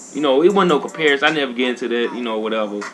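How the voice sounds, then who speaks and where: There is noticeable background noise. Over it, a man speaks at a medium pitch. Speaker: video game streamer. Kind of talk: casual gaming commentary. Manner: fast; animated.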